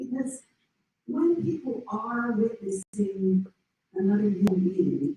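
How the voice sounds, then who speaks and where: A woman's dark, mellow, somewhat breathy voice at medium pitch with lively intonation. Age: 60s. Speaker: panelist on women's midlife talk show. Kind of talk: panel discussion.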